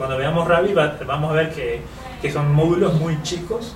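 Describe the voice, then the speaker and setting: A man talks at a fairly quick pace with fairly high pitch and fairly even intonation. Audible room echo and noticeable background noise surround him. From Uruguay. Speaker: software developer and author. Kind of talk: technical interview.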